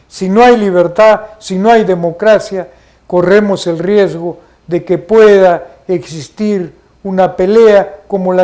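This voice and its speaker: Speaking at a very slow pace, a man with a high pitch and a dark, mellow tone keeps his intonation fairly even. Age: 60s. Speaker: TV program host, commentator. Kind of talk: opinion commentary. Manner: formal.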